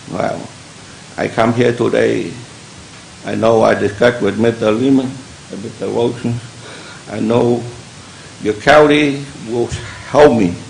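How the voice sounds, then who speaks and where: Fairly slow speech with long, frequent pauses, audible room echo and noticeable background noise. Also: man, medium pitch for a man. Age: 70s. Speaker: member of the public, war veteran. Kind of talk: public comment at county meeting. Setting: public meeting hall. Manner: halting.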